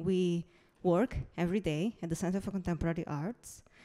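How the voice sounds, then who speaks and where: This woman has a dark, mellow tone and a medium pitch, speaking with an Italian accent. Her pace is moderate. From Italy. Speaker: museum curator. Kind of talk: conference presentation. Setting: stage with audience.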